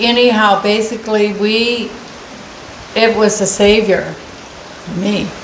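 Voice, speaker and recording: A very slow pace amid noticeable background noise and audible room echo. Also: woman. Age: 70s. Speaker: senior citizen granted a wish. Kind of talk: casual interview. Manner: halting.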